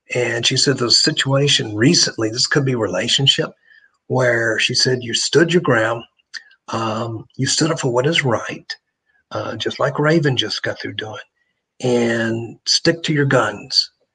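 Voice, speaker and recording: Speaking at a fairly slow pace, a man with an American accent uses a normal speaking voice at medium pitch with ordinary pitch variation. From US South, Memphis, Tennessee. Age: 60s. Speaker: psychic medium. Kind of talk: live psychic reading. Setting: live streamed talk show.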